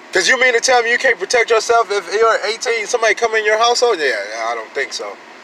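A man with an American accent, an extremely high pitch and a raised, projected voice, very fast pace, ordinary pitch variation, dry sound with no echo and light background noise. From US. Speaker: gun-rights vlogger. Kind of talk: angry rant, fired-up gun-rights sermon. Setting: solo home video, talking to camera. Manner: loud, indignant, emphatic; fast, preachy, repeating points for emphasis. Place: car. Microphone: phone near.

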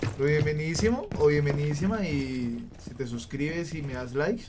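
Someone with a Colombian accent talks at a moderate pace with lively intonation over light background noise. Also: man. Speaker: gaming streamer. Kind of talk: live gameplay commentary. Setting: live stream. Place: home room. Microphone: studio mic.

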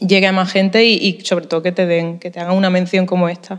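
The background is quiet while a woman talks. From Spain, Málaga (Andalusia); Andalusia, Spain. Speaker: musician, band leader. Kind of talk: interview. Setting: at a music festival in a museum. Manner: hesitant, many fillers and repetitions. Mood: grateful, thoughtful. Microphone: handheld.

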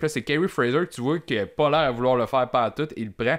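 In a quiet background, a man speaks with a Quebec accent. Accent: Québécois French. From Quebec City region, Quebec. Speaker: podcast panelist. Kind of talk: casual chat. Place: studio. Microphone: studio mic.

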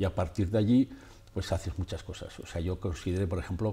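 A man's very deep, low, somewhat breathy voice with a dark, mellow tone, ordinary pitch variation and a fairly quick pace. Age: 70s. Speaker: photographer and author; guest. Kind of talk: radio interview. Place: studio. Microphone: lapel.

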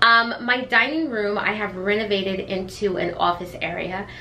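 There is light background noise as a woman speaks with ordinary pitch variation. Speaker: beauty vlogger. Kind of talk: casual vlog chat. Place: kitchen. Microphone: camera far.

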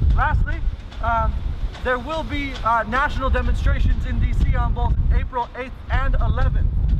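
A man with long, frequent pauses over loud background noise. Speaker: rally organizer. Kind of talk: rally speech. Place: street.

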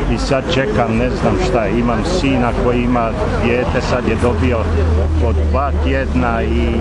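Loud noise fills the background. Through it, a man talks at a fairly slow pace. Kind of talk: interview answer. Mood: aggrieved, earnest. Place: street.

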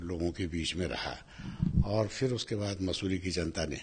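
A man speaks with vocal fry. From Tehri Garhwal, Uttarakhand; Uttarakhand. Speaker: politician; politician interviewee. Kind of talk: interview; interview answer. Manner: halting. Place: home room. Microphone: handheld.

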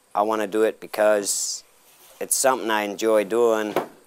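A man speaks at a fairly low pitch over noticeable background noise. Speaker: apprentice auctioneer. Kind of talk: interview answer. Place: farm. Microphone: lapel.

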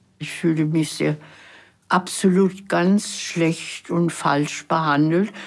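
At a very slow pace, a woman speaks with a fairly low pitch. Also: quiet background. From Germany. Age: 80s+. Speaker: former secretary, documentary interviewee. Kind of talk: interview answer. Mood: reflective, somber recollection. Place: studio.

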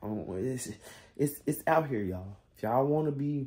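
A dark, mellow tone carries the words at a moderate pace. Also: man. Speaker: vlogger. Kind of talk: casual vlog chat. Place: home room. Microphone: phone near.

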